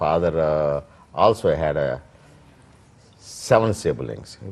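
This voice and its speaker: In an Indian accent, a man speaks at a very slow pace. His voice is very deep and low, with ordinary pitch variation. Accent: Indian English (Telugu). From India, Andhra Pradesh (Krishna district village). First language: Telugu. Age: 60s. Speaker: immigrant interviewee. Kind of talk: oral history interview. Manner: halting, many fillers.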